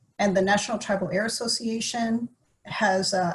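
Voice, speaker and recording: Speaking at a fairly quick pace, a woman with a fairly high pitch sounds somewhat breathy and uses ordinary pitch variation. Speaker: environmental agency staff presenter. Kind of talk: webinar presentation. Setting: virtual webinar with screen sharing. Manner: fast.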